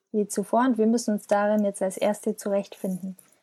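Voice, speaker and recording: A woman's flat, monotone voice at medium pitch, dark and mellow in tone, with a dry, close sound and no echo. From Bavaria, village south of Munich. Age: 20s. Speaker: freelance copywriter and blogger. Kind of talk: interview.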